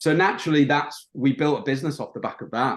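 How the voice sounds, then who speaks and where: The speaker has a Yorkshire accent. The background is quiet. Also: man. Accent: British (Yorkshire). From northern England, Bridlington, Yorkshire. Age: 30s. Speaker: marketing agency owner. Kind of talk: podcast interview. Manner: hesitant, many fillers.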